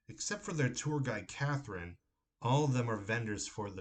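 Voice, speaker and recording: Moderately paced speech comes through in a somewhat breathy voice. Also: man. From Ohio, USA. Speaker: horror novelist. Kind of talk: horror story reading by the author.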